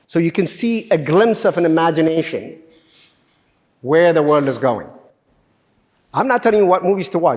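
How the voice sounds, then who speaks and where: A man's high-pitched, animated voice at a moderate pace, with very even loudness and long, frequent pauses. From Ethiopia. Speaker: government official, guest speaker. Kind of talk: lecture. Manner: halting.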